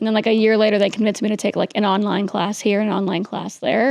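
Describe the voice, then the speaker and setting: Rushing along at a very fast pace, a woman speaks in a fairly high voice. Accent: American. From New York City. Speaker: political spokesperson. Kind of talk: interview.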